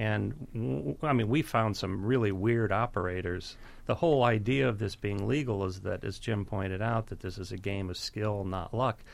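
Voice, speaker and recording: Captured in a very clean recording with a silent background, a man with an unremarkable speaking voice talks at a fairly low pitch with ordinary pitch variation and hardly any pauses. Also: moderate pace. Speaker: investigative journalist. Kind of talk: radio interview.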